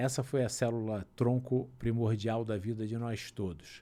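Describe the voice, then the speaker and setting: A man's dark, mellow voice at a fairly slow pace. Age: 60s. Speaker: doctor and cancer survivor. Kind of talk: interview.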